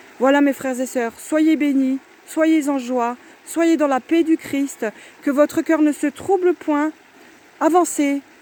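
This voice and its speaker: Loud and at a very slow pace, a woman speaks in a high pitch with ordinary pitch variation, captured with a dry, close sound and no echo, over noticeable background noise. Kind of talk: religious exhortation. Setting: outdoors by the water.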